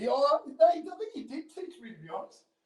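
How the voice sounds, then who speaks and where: A man talks here. His accent is Australian. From Sydney, Australia. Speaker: former sports CEO and salesman. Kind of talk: interview answer.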